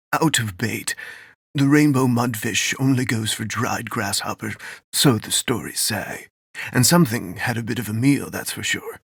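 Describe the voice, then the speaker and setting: Using a put-on character voice, a man talks at a moderate pace and a medium pitch. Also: ordinary pitch variation. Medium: read story. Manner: brisk, folksy.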